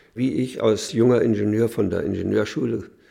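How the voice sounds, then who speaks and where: A man speaks at a moderate pace in a fairly low pitch, with a dark, mellow tone and vocal fry. His pitch varies in an ordinary way, and the recording is very clean with a silent background. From Mecklenburg, northern Germany. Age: 80s+. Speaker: retired printing engineer, interviewee. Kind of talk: interview recollection.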